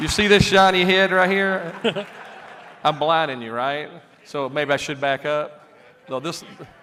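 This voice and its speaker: A man with a Southern US accent speaks at a fairly slow pace with a fairly high pitch, leaving long, frequent pauses. Noticeable background noise and audible room echo fill the recording. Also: ordinary pitch variation. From US South, Alabama. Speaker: aircraft company president. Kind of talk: stage presentation. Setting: stage with audience. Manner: animated.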